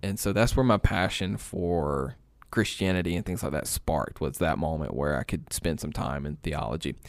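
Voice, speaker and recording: On a very clean recording with a silent background, a man with an American accent speaks at a moderate pace in a very deep, low pitch, using lively intonation and vocal fry. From East Alabama, US South. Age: 20s. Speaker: online pastor. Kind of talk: casual chat.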